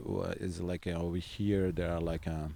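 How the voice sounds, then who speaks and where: A man's very deep, low voice with a dark, mellow tone and an Italian accent, in a very clean recording with a silent background. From Southern Italy. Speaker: singer-songwriter and guitarist. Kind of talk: interview. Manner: halting, many fillers.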